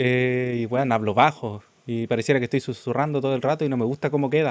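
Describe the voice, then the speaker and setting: With a Chilean accent, a man talks at a very fast pace with fairly even intonation. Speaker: streamer. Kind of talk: live reaction stream. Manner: sometimes fast, mumbled without moving jaw.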